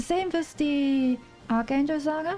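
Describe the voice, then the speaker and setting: A woman speaks in a German accent with a dark, mellow tone. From Germany. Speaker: gaming streamer. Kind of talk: casual live-stream chat while gaming. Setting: live stream. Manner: animated.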